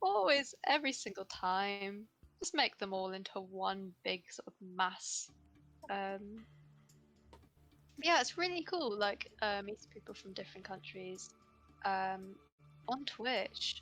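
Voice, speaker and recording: Over music in the background, the speech goes at a very slow pace with long, frequent pauses, big swings in loudness and ordinary pitch variation. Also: woman, medium pitch for a woman. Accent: southern English. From southern England. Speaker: streamer and artist. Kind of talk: casual chat.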